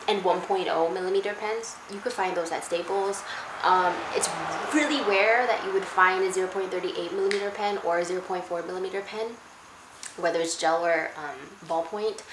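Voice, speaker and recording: A woman's medium-pitched, fairly quick speech with ordinary pitch variation, amid noticeable background noise and audible room echo. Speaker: YouTuber. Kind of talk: casual chat. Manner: fast; halting.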